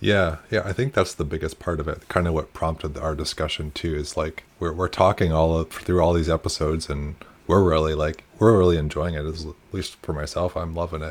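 With a resonant, very deep and low pitch, a man talks at a moderate pace and fairly even intonation. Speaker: podcast co-host, early-stage founder.

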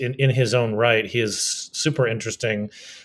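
This man has a somewhat breathy voice. He talks at a moderate pace. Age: 40s. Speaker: podcast host. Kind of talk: interview. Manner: halting, many fillers.

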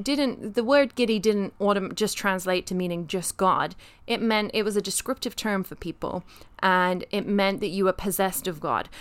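Here is a woman with a British accent. The recording is very clean, and the background is silent. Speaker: podcast co-host. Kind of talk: casual chat.

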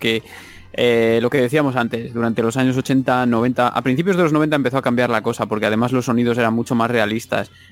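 Speaking at a fairly quick pace, a man has a normal speaking voice with medium pitch and fairly even intonation. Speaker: music and video game podcaster. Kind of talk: casual chat.

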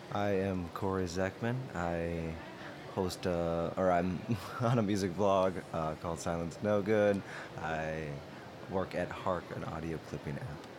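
Noticeable background noise sits behind the voice. The delivery is fairly slow, and the intonation stays fairly even. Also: man, very deep, low pitch for a man. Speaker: podcast app editor. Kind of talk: casual chat. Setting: live at a conference.

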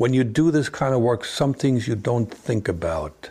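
Speaking with a German accent, a man keeps a moderate pace. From East Germany. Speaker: former spy. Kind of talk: interview. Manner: halting.

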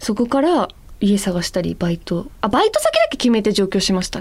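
A woman talks at a fairly quick pace with lively intonation, a medium pitch and vocal fry. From Hokkaido, Ebetsu. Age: 30s. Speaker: model and radio co-host. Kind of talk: casual chat.

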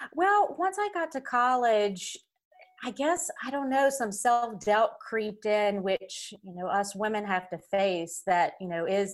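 A woman speaks with a Southern US accent at a fairly high pitch. Her intonation is lively and her pace fairly slow. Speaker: podcast guest. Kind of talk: casual interview.

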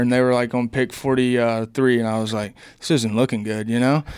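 Over a silent background on a very clean recording, a man with a Southern US accent speaks at medium pitch in a monotone, flat intonation. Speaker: baseball player. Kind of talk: interview.

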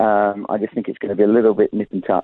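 In a British accent, the speaker talks with monotone, flat intonation. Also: man. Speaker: betting odds pundit. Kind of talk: sports betting preview. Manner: halting.

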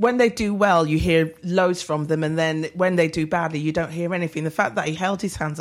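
Noticeable background noise runs behind a woman with a fairly low pitch. She talks at a fairly quick pace with fairly even intonation. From northern England (Leeds). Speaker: football fan pundit. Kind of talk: casual chat.

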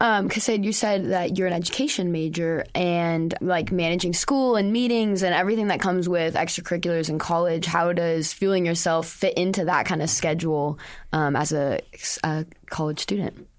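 A woman talks in a normal speaking voice with a fairly low pitch, ordinary pitch variation, very even loudness and a moderate pace. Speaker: student intern and interviewer. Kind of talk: interview. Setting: studio.

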